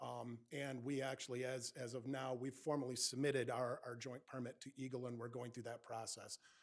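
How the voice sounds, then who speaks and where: A man's medium-pitched voice at a fairly quick pace, with hardly any pauses and a monotone, flat intonation. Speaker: engineering consultant presenting a project. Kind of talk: public meeting presentation. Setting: township planning commission meeting. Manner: loud.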